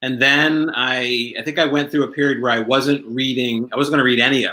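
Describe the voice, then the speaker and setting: Bright and sharp in tone, a man with an American accent speaks fairly quickly at a medium pitch with ordinary pitch variation. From US Northeast, South Jersey. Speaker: fringe performer and improviser. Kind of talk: casual interview chat. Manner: halting, many repeated words.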